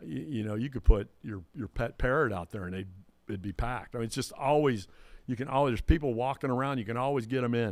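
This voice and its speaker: A man rushes along at a very fast pace at medium pitch, his loudness swinging widely while his pitch varies in an ordinary way. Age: 60s. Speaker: DJ and entertainer. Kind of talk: casual chat.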